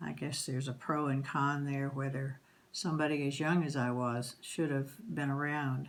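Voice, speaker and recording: A woman speaks with fairly even intonation at a very deep, low pitch. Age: 70s. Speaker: grandmother interviewed for school project. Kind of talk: interview, life story. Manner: hesitant, frequent um and uh.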